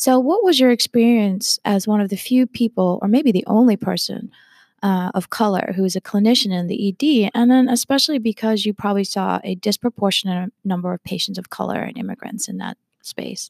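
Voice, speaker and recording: Pitched fairly high, a woman with an American accent and a plain, everyday voice talks at a fairly quick pace with ordinary pitch variation, her sound dry and close with no echo on a very clean recording against a silent background. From Texas. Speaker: podcast host, health equity center director. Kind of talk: interview.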